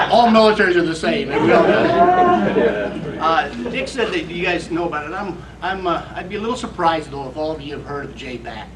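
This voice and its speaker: A man with a high voice talks at a fairly quick pace, with audible room echo and noticeable background noise. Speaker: military POW/MIA recovery official. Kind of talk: speech to veterans reunion. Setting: veterans reunion gathering. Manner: hesitant, many fillers.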